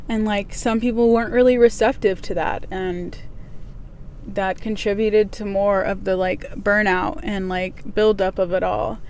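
A woman's medium-pitched voice against noticeable background noise. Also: moderate pace. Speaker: podcast host. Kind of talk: casual solo podcast monologue. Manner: monotone; candid, personal.

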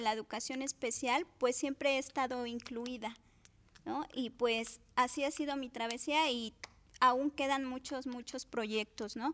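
The voice is raised and projected, with a bright, sharp tone. It moves at a fairly slow pace with fairly even intonation. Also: woman. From Cuautla, Morelos, Mexico. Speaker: special education teacher. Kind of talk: interview. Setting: studio.

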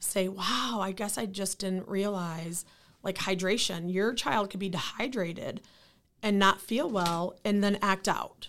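A woman speaks with a Midwestern American accent at a moderate pace. Her pitch is medium and her intonation fairly even. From Lansing, Michigan. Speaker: nonprofit founder. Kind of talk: interview.

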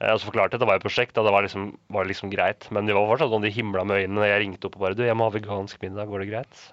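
Hardly pausing, a man talks at a very fast pace. His fairly low voice stays monotone and flat. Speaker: radio co-host. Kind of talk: casual chat.

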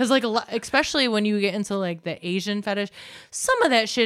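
Using a normal speaking voice, the woman delivers her words with lively intonation at a fairly high pitch. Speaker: guest. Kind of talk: casual chat.

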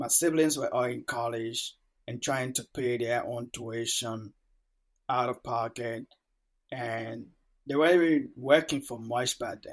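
A man speaks very slowly at a medium pitch with fairly even intonation. Long, frequent pauses stand out in a very clean recording with a silent background. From Liberia. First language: Mano. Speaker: podcast host. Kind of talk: podcast monologue.

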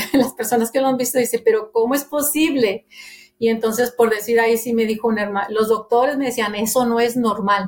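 Using a normal speaking voice, a woman speaks at a fairly high pitch. Her pace is fairly quick and her intonation fairly even. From Monterrey, Nuevo León, Mexico. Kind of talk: testimony.

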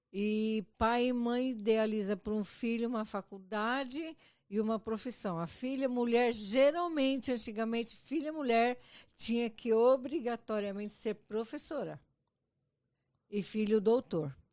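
At a fairly slow pace over a quiet background, a normal speaking voice moves with ordinary pitch variation. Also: woman, fairly high pitch for a woman. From Brazil. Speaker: mother-in-law of host. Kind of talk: casual chat, life story.

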